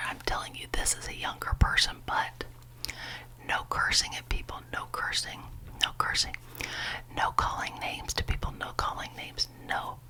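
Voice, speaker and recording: Whispering in a soothing tone at a moderate pace, with long, frequent pauses and noticeable background noise. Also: woman. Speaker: ASMR creator. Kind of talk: ASMR whispered ramble. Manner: whispered; soft-spoken, soothing.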